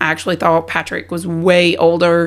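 Speaking at a moderate pace, a woman talks in a Southern US accent. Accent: Southern US, noticeable. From South Carolina. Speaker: army spouse and veteran. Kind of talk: casual interview storytelling.

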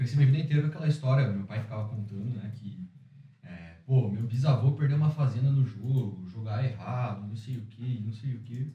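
Using a normal speaking voice, a man talks fairly quickly at medium pitch with ordinary pitch variation and big swings in loudness. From Curitiba, southern Brazil. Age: 20s. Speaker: entrepreneur, former exchange student. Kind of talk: casual interview. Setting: studio with small audience.

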